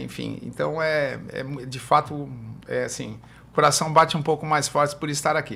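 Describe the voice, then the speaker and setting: A man with a fairly high pitch and a bright, sharp tone speaks at a moderate pace, with vocal fry and fairly even intonation. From Brazil, São Paulo coast (Guarujá). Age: 60s. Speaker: physiotherapist. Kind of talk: podcast interview.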